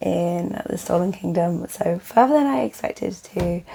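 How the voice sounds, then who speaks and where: A woman talks while noticeable background noise sits behind her. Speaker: book vlogger. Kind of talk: casual vlog talk.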